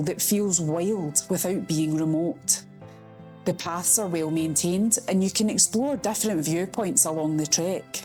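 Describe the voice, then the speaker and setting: Music plays in the background as a woman with a Scottish accent speaks at a moderate pace. Her fairly low voice carries lively intonation. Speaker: travel vlogger. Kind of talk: travel video voiceover.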